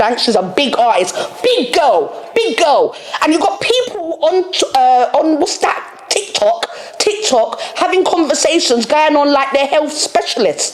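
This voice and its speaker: A woman with a London accent speaks fairly slowly at a high pitch, with very wide pitch swings and very even loudness over noticeable background noise. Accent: London Multicultural English. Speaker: podcast host. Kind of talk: monologue rant. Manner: animated.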